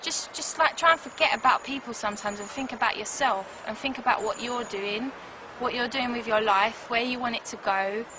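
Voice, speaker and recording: In a South London accent, a woman talks at a fairly quick pace with a high pitch and ordinary pitch variation. Noticeable background noise sits behind her. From South London, England. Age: 20s. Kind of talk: interview testimony.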